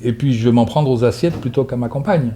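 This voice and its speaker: A man's medium-pitched voice with fairly even intonation. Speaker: psychotherapist giving a talk. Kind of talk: lecture with audience questions; casual video intro. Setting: conference hall with audience. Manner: fast.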